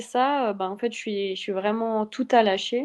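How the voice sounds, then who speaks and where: The intonation is fairly even. A woman talks at a fairly slow speed. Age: 20s. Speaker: athlete. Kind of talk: interview. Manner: halting.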